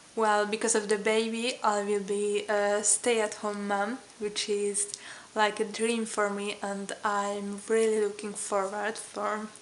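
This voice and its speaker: Monotone, flat intonation at a very slow pace. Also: woman, medium pitch for a woman. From Hungary. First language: Hungarian. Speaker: vlogger. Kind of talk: casual vlog talk. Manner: hesitant, many fillers.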